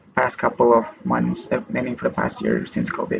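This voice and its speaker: Noticeable background noise is present as this man talks at a moderate pace. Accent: Malaysian. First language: Malay. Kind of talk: casual talk to camera. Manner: hesitant.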